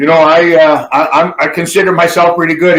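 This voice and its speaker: This is a normal speaking voice, moving at a moderate tempo. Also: man. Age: 60s. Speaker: former pro wrestler and barber. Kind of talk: casual interview chat.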